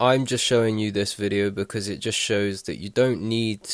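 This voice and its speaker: A man with a fairly low pitch and monotone, flat intonation on a very clean recording with a silent background. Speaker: gaming YouTuber. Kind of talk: casual gaming commentary. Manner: unscripted, stuttering.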